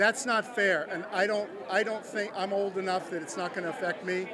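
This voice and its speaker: Fairly quick speech with crowd noise in the background. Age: 60s. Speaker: political supporter. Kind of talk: interview. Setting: election watch party event hall. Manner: animated.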